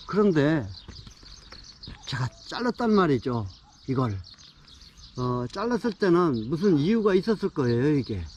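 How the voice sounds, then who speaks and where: Amid noticeable background noise, a man with a fairly high pitch speaks with very wide pitch swings and long, frequent pauses. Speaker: pine tree gardening expert. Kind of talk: tutorial. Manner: hesitant with fillers.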